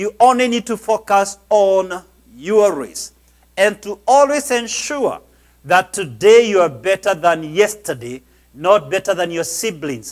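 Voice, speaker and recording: A man's lively intonation comes through at a fairly slow pace, with a quiet background behind him. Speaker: pastor, preacher. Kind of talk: sermon, motivational preaching. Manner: emphatic, preacherly. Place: church. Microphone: lapel.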